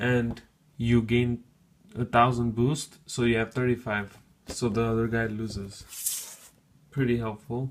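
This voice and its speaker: At a very slow pace, a man talks in a medium pitch with monotone, flat intonation. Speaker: gaming YouTuber. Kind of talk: tutorial.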